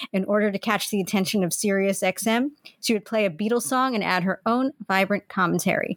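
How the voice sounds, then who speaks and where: The sound is dry and close, with no echo. It is an ordinary speaking voice, with ordinary pitch variation at a fairly quick pace. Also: woman. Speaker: podcast host. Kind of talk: casual chat.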